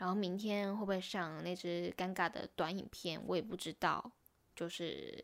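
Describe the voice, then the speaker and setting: A woman's medium-pitched voice with a Taiwanese accent on a very clean recording with a silent background. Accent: Taiwanese Mandarin. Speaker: YouTuber and podcaster. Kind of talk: casual solo vlog-style monologue.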